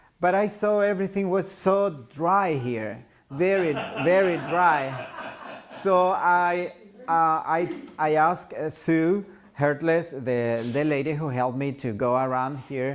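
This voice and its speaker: A man's fairly high voice at a very slow pace with ordinary pitch variation, noticeable background noise and audible room echo. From El Salvador. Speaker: pastor. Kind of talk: church talk.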